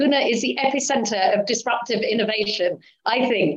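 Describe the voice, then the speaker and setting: With lively intonation and a moderate pace, a woman talks in an ordinary speaking voice. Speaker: interviewer. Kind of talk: interview.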